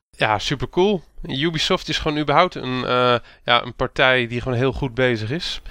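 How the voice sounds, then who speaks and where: A man talks at medium pitch with ordinary pitch variation. His tone is bright and sharp. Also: moderate pace. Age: 30s. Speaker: podcast host. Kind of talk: casual chat.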